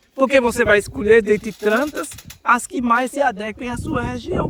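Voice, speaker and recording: A man with an extremely high pitch talks at a moderate pace over noticeable background noise. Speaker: university professor. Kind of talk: lecture.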